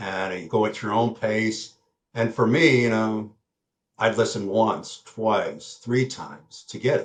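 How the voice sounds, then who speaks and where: A somewhat breathy male voice at medium pitch and a fairly slow pace. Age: 70s. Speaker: retired accountant turned trader. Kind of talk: interview. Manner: halting, with fillers.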